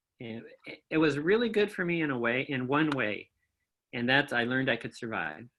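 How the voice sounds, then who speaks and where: The speaker talks at a moderate pace. The voice comes with a Midwestern American accent. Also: man. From Kalamazoo, Michigan. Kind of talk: interview answer. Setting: remote video call.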